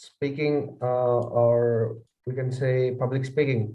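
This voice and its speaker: A man with a non-native accent talks at a very slow pace. His pitch is medium, and audible room echo surrounds the voice. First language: not English. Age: young. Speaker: student debater. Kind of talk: interview answers. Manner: hesitant, brief.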